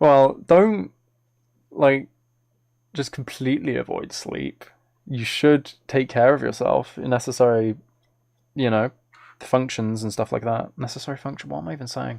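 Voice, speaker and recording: A British accent at a moderate pace with long, frequent pauses. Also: man, medium pitch for a man, ordinary pitch variation. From Britain. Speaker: ASMR streamer and musician. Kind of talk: casual live-stream chat. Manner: halting, with repeated words.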